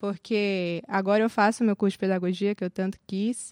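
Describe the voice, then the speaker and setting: A woman's ordinary speaking voice at medium pitch and a fairly slow pace, on a very clean recording with a silent background and a dry, close sound with no echo. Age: 20s. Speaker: seminary student. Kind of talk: casual interview.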